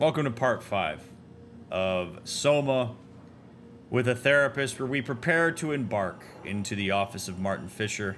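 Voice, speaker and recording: Music plays in the background as the speaker talks at a moderate pace with lively intonation. Long pauses come often. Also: man. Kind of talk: casual gameplay commentary. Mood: friendly, upbeat. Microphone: studio mic.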